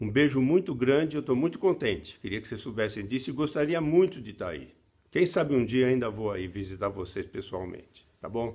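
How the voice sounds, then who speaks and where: A man's medium-pitched voice with very wide pitch swings, at a moderate pace, on a very clean recording with a silent background. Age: 70s. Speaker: children's book author. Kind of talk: recorded video message to students. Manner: halting, with many fillers.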